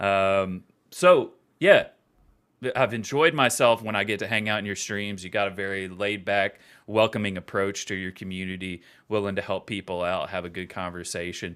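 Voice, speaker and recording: Speaking in an American accent at a moderate pace, a man uses a fairly low pitch and fairly even intonation, with big swings in loudness on a very clean recording with a silent background. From West Virginia. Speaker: game company community host. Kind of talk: casual interview chat. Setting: live stream.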